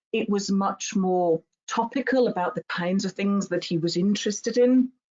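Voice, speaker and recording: Over a quiet background, a woman speaks in a somewhat breathy voice. Her pitch varies in an ordinary way. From Germany. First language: German. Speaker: university researcher. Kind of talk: webinar lecture. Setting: online webinar. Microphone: webcam.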